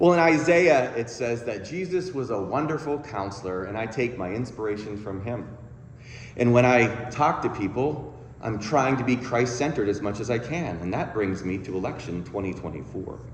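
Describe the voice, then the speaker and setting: A man's medium-pitched voice with lively intonation, audible room echo and noticeable background noise. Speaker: counselor and guest speaker. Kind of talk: sermon. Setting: church. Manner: fast.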